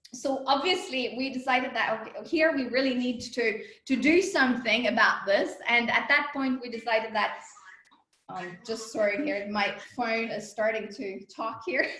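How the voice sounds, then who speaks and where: A woman speaks loudly and animatedly in a high pitch at a moderate pace, with ordinary pitch variation. Audible room echo surrounds her voice. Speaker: company co-founder and executive. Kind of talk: interview.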